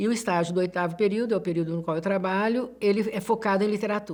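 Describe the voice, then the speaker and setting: A woman of medium pitch talks at a fairly quick pace with fairly even intonation. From Minas Gerais, Brazil (Betim). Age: 60s. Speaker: literature professor. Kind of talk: interview. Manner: halting.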